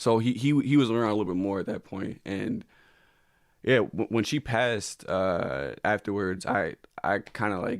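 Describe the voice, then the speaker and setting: Heard in a very clean recording with a silent background, a man speaks with a fairly low pitch and ordinary pitch variation. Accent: American. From Connecticut, US. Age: 20s. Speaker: comedian. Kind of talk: podcast interview about personal grief. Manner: halting, many repeated words and fillers.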